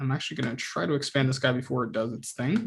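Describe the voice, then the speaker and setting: Somewhat breathy speech from a man. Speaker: student club workshop presenter; presenter. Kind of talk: tutorial. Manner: fast; casual, hesitant with fillers. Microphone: video call.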